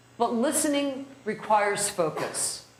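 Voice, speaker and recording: A woman speaks with an American accent. Audible room echo and noticeable background noise are present. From New Jersey (North Jersey). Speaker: criminal defense lawyer, trainer. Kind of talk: lecture. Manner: fast.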